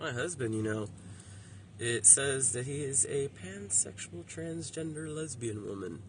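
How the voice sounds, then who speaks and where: A man talks at a fairly slow pace with lively intonation and medium pitch. Audible room echo surrounds his voice. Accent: American. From Miami, Florida. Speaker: vlogger. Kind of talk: casual vlog monologue. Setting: outdoors by the roadside. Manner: halting, affected by brain injury.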